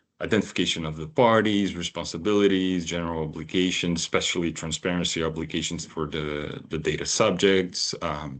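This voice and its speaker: Very deep, low male voice at a fairly quick pace, with hardly any pauses, fairly even intonation and a quiet background. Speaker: data protection regulator official. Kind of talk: webinar presentation. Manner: halting, many fillers.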